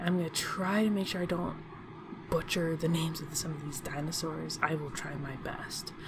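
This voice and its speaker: A soft-spoken woman at a fairly low pitch, moderate pace and fairly even intonation, with hardly any pauses and noticeable background noise. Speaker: YouTube channel host. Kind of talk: casual narration of a ranked list to camera.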